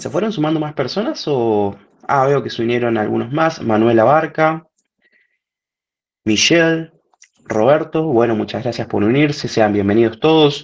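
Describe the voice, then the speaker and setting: Speaking at a fairly slow pace with long, frequent pauses, a man uses lively intonation at a medium pitch. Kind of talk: webinar presentation. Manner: animated.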